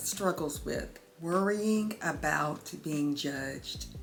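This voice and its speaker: A woman speaks with a Southern US accent. Her tone is warm and her intonation lively. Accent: Southern twang. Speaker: lifestyle YouTuber. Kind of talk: motivational talk to camera. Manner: warm, conversational.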